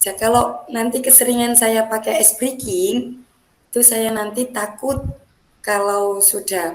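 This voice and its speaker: Her voice fairly high, a woman talks at a fairly slow tempo, its pitch varying in an ordinary way. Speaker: teacher. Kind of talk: coaching role-play practice session.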